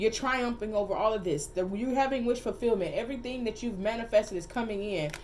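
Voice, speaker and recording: Over noticeable background noise, a woman speaks at a very fast pace and fairly high pitch with ordinary pitch variation. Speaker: tarot reader. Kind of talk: tarot reading. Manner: animated.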